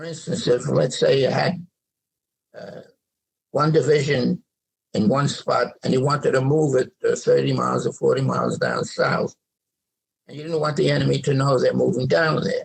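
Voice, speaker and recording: A man talks in a New York accent. His speech has long, frequent pauses. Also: moderate pace. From New York City. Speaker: World War II veteran. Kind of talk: interview answer.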